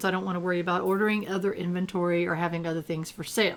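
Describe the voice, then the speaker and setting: A woman speaks at a very fast pace and a medium pitch. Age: old. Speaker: gaming youtuber. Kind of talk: gameplay commentary. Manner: casual, chatty.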